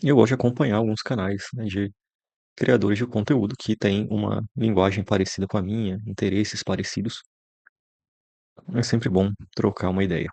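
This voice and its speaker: Long, frequent pauses break up speech with a dark, mellow tone and fairly even intonation, heard in a dry, close sound with no echo. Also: man, fairly low pitch for a man. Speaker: content creator. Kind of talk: casual monologue. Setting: bedroom. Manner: slow.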